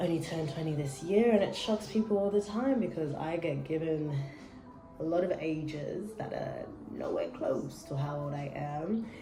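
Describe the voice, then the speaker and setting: Music plays in the background and the room echo is audible. A woman with a fairly low voice speaks in an animated tone with lively intonation. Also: moderate pace. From Australia. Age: 20s. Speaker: vlogger. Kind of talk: casual chat.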